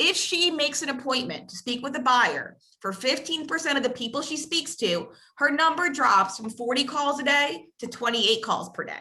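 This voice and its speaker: This woman has a raised, projected, high voice. Her intonation is lively. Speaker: real estate coach. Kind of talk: training session. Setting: video call. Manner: fast.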